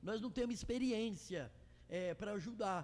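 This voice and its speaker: The speaker is a man taking his time somewhat. His pitch rises and falls in a normal way. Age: 60s. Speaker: club pioneer, church volunteer. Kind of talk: interview conversation. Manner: halting.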